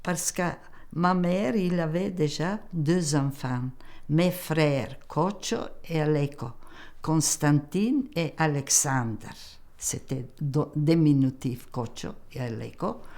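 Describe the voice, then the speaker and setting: In a Macedonian accent, a woman speaks very slowly at a very deep, low pitch, her dark, mellow tone carrying lively intonation through long, frequent pauses. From North Macedonia, Strumica. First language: Macedonian (speaking French). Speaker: immigrant elder telling her life story. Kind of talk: documentary interview, life story. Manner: halting.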